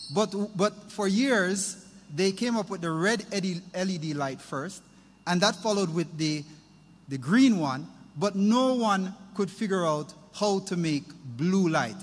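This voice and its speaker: A man with a high pitch and ordinary pitch variation, at a very slow pace. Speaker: speaker. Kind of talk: inspirational talk. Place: hall. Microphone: podium.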